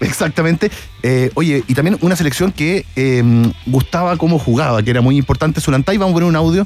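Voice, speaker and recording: Very fast speech with ordinary pitch variation and very even loudness comes broken by long, frequent pauses. Music plays in the background. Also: man, fairly high pitch for a man. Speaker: football commentator. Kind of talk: comedic radio chat.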